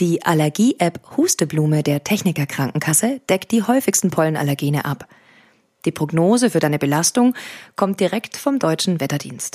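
Very wide pitch swings mark a woman's voice, recorded very cleanly against a silent background with a dry, close sound and no echo. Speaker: meditation podcast host and coach. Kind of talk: guided meditation. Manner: slow, calm and soothing, with measured pauses.

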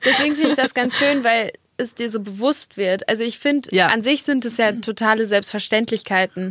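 This woman has an unremarkable speaking voice, fairly high in pitch, talking at a fairly quick pace with ordinary pitch variation. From Germany, Dortmund (Ruhr area). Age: 20s. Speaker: model and content creator. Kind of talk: casual chat. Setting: studio.

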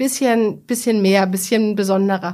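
An unremarkable speaking voice at a fairly quick pace, with ordinary pitch variation, on a very clean recording with a silent background. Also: woman. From Bavaria, Germany (Bamberg). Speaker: media executive and author. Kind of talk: interview.

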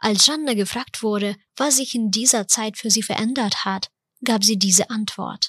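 A woman with a Ukrainian accent, fairly high in pitch, at a moderate pace with ordinary pitch variation. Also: dry, close sound with no echo. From Ukraine. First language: Ukrainian (speaking German). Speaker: podcast host. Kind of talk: scripted narration.

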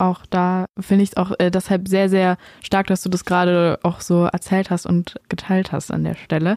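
A woman speaks at a medium pitch with a dark, mellow tone and a moderate pace. The sound is dry and close with no echo. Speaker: podcast host and interviewer. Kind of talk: interview conversation.

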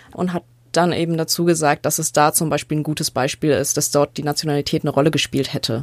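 The speaker delivers words at a very fast pace in a monotone, flat intonation. The sound is dry and close with no echo, on a very clean recording with a silent background. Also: woman, very deep, low pitch for a woman. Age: 20s. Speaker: journalism student and podcast co-host. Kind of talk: casual chat.

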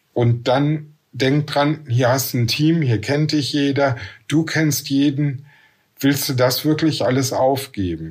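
A somewhat breathy man with a fairly high pitch speaks very slowly, his loudness very even and his pitch variation ordinary. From Ruhr area / Bergisches Land, western Germany. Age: 50s. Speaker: nurse and works council chair. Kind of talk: interview.

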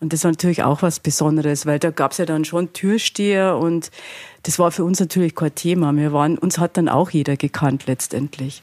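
A woman's very deep, low voice in a Bavarian accent, fairly quick, with very even loudness, fairly even intonation and a dry, close sound free of echo. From Bavaria, Altötting district. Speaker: innkeeper and fashion designer. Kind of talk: interview.

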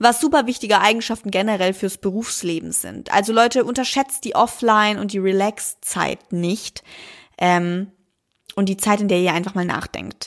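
A very clean recording with a silent background carries a normal speaking voice at a moderate pace with ordinary pitch variation. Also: woman, medium pitch for a woman. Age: 20s. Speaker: podcast host. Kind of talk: solo monologue podcast.

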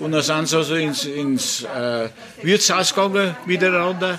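Noticeable background noise sits behind a man's high-pitched voice. He speaks at a moderate pace with ordinary pitch variation. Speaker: former glassworks neighbourhood resident. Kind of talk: reminiscing at regulars' table. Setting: pub. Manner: halting, repetitive.

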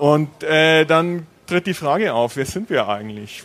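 Lively intonation colors the fairly high pitch of a man with a plain, everyday voice. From Franconia, Bavaria. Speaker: university Japan studies scholar. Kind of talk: panel Q&A at live event.

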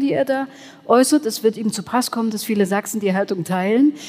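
Her voice a normal speaking voice, a woman speaks at a fairly high pitch with lively intonation. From Saxony, Erzgebirge. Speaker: journalist. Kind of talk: live panel discussion. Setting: church with live audience.

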